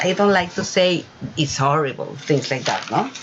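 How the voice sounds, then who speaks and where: A woman with a Spanish accent, fairly low pitch and lively intonation, amid noticeable background noise. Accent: non-native English, Spanish-speaking. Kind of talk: casual video talk. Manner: halting, many fillers.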